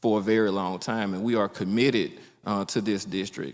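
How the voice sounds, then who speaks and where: A man with an Alabama accent at a fairly quick pace, on a very clean recording with a silent background. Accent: US South (Alabama). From Alabama, Mobile County. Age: 40s. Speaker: politician, state legislator. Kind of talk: candidate forum speech. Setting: public forum with audience.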